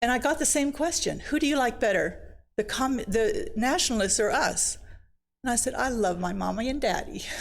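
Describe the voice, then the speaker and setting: A woman with a Chinese accent speaks at a high pitch and moderate pace with very wide pitch swings. Her loudness stays very even. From China, then Sweden. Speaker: missionary speaker. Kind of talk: personal testimony talk.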